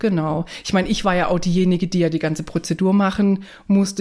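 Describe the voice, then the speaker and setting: The delivery is monotone and flat, moving along at a moderate pace. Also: woman. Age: 30s. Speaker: guest sharing fertility journey. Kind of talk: personal interview testimony.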